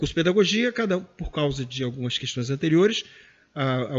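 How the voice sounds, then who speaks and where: This man talks at a fairly quick pace in a fairly high pitch. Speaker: professor, former head of a distance-learning foundation. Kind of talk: interview. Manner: fast.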